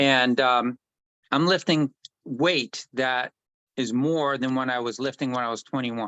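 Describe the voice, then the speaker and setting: A man with an unremarkable speaking voice talks at a fairly slow pace, with a medium pitch and fairly even intonation. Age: 60s. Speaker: health product distributor. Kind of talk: casual conversation with sales pitch.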